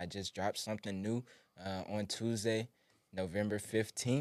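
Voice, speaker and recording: The man's voice sits fairly low. His intonation stays flat and monotone. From New Orleans, Louisiana. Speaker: clothing brand founder, former teacher. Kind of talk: casual interview.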